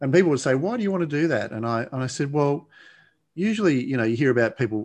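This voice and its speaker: Against a quiet background, a man talks at a very fast pace with lively intonation in an Australian accent. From Australia, Blue Mountains west of Sydney. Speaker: addiction coach and podcast host. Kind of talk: interview conversation. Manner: calm.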